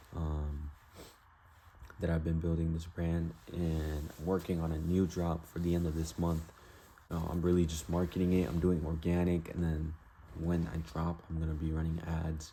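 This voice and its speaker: The speaker mumbles at a moderate pace in a dark, mellow tone. The voice is somewhat breathy and the intonation is monotone and flat. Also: man, very deep, low pitch for a man. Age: young. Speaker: vlogger, online store owner. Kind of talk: casual vlog talking to camera. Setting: self-recorded video to camera. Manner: mumbling; rambling casual with fillers.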